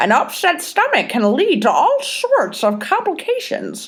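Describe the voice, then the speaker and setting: Putting on a character voice, a woman talks at a moderate pace with extremely high pitch and very even loudness. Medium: read story. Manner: fussy, deliberate.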